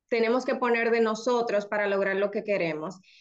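Against a quiet background, a woman speaks at a fairly high pitch. Her intonation is fairly even. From Dominican Republic. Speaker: lawyer and new real estate licensee; lawyer. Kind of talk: testimony. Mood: reflective, earnest. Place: home room. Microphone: video call.

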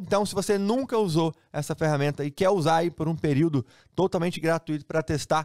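Upbeat and very fast, this voice speaks in a Brazilian accent with ordinary pitch variation. The background is quiet. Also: man. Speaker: sports betting trainer and tool seller. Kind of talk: sales pitch. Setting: online video to camera. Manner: fast, upbeat, persuasive hard-sell; repeats phrases for emphasis, familiar tone. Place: home room.

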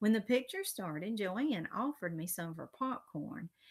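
Lively intonation in plain reading aloud

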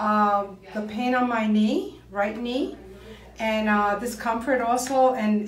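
A woman's fairly high voice at a very slow pace, with audible room echo and light background noise. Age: 70s. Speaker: clinic patient. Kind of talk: interview answer. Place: home room. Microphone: camera far.

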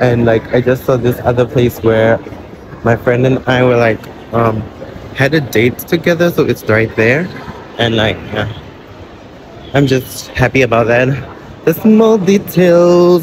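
A man talks at a fairly slow pace with long, frequent pauses, very even loudness, and ordinary pitch variation. The sound is dry with no echo, with noticeable background noise. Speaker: vlogger. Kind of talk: casual vlog chat. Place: shop. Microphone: phone near.

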